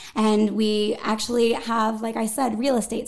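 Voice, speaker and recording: A woman with a fairly high voice, flat monotone intonation, and a western Pennsylvania accent. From western Pennsylvania (Greensburg). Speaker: arts nonprofit events director. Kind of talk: casual interview. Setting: studio.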